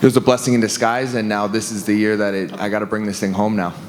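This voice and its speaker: A man at a fairly low pitch, with fairly even intonation, noticeable background noise and audible room echo. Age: 20s. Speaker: MMA fighter. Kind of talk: press conference answer. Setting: press conference. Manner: halting, many fillers.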